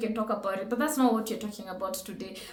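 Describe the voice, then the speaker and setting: A woman speaks in an animated tone. Noticeable background noise and audible room echo fill the recording. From Kenya. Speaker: reaction video host. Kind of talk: reaction commentary.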